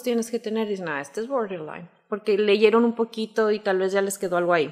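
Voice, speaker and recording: Against a quiet background, a woman uses a normal speaking voice with a fairly high pitch and fairly even intonation. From Zacatecas, Mexico. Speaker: life coach; life coach guest. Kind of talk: explanatory talk in casual interview. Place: studio. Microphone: studio mic.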